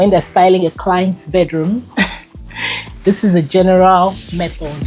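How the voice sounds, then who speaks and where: A woman speaks at medium pitch and a moderate pace with music in the background. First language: not English. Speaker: home styling content creator. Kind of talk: tutorial. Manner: casual conversational.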